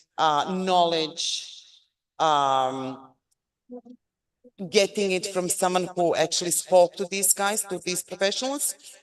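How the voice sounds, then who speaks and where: A woman at medium pitch with ordinary pitch variation, at a very slow pace with long, frequent pauses. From Serbia. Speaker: university lecturer. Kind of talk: guest lecture. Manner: loud.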